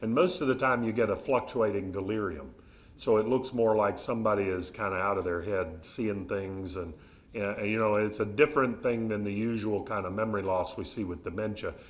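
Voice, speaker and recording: A man with a Southern US accent, fairly low pitch, ordinary pitch variation and a fairly quick pace, with audible room echo. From Arkansas, US South. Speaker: behavioral neurologist. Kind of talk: public talk with audience Q&A. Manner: conversational, polite.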